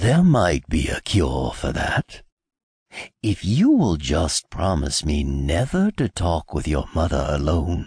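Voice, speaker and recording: Using a put-on character voice, a man speaks fairly slowly at a very deep, low pitch. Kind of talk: fairy tale audiobook acting. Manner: grave, warning.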